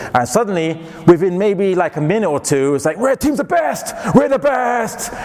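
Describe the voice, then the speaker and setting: A man's high-pitched voice with very wide pitch swings at a moderate pace, over noticeable background noise. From England. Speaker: Islamic lecturer. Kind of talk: lecture.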